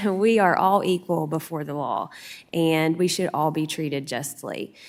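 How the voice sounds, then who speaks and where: Speaking at a moderate pace with a Southern West Virginia accent, a woman has a very deep, low pitch and ordinary pitch variation on a very clean recording with a silent background. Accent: Southern West Virginia accent, noticeable. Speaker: supreme court justice. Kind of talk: Q&A answer to students.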